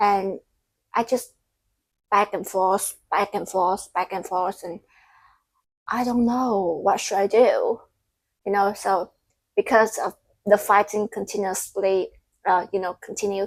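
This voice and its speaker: With a non-native accent, a woman of medium pitch speaks at a fairly slow pace in a monotone, flat intonation with long, frequent pauses. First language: Vietnamese. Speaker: content creator. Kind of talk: casual vlog monologue. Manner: halting.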